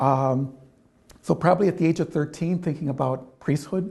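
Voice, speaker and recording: In an Upper Midwest accent, a man speaks at a moderate pace with ordinary pitch variation. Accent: Upper Midwest American. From Michigan, US Midwest. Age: 60s. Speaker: Jesuit priest and nurse. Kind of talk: interview. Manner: halting, many fillers.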